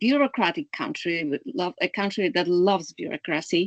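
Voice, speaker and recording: A woman with a Polish accent is recorded with a dry, close sound and no echo. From Poland. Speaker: clean energy analyst. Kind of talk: webinar talk. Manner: halting, many fillers.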